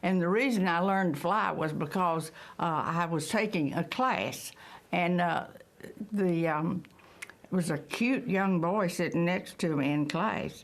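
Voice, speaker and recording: The speech moves at a fairly slow pace with very even loudness and ordinary pitch variation, with audible room echo. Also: woman, fairly low pitch for a woman. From Texas. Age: 90s. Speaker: WWII veteran pilot. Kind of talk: interview testimony.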